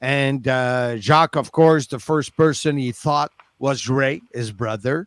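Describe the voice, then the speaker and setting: With a French Canadian accent, a man speaks at a fairly slow pace and a medium pitch with ordinary pitch variation, in a dry, close sound with no echo. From Quebec, Canada. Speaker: wrestling commentator. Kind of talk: interview answer.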